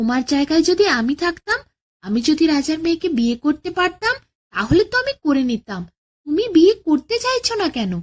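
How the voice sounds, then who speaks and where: A woman uses a put-on character voice at an extremely high pitch. She speaks at a moderate pace with very wide pitch swings. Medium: read story. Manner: naive, boastful.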